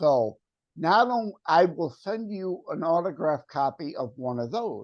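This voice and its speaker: A man's high voice swings very widely in pitch. He speaks at a fairly slow pace over a quiet background. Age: 60s. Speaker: author. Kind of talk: interview.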